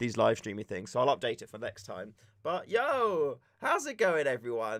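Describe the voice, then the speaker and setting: With a British accent and a fairly high pitch, a man talks at a moderate pace in a relaxed tone on a very clean recording with a silent background. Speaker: airsoft streamer. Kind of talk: casual live stream chat. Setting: live stream. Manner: relaxed, chatty.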